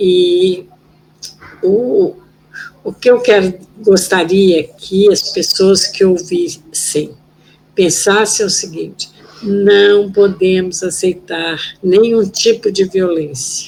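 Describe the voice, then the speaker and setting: Very slow speech with long, frequent pauses and fairly even intonation comes through noticeable background noise. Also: woman, medium pitch for a woman. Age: 70s. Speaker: former political prisoner and human rights activist. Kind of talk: interview testimony.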